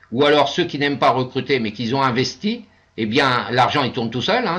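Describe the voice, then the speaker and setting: Moderate-paced male speech with ordinary pitch movement. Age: 60s. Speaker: investment scheme presenter. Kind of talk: webinar presentation with Q&A. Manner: hesitant, many fillers.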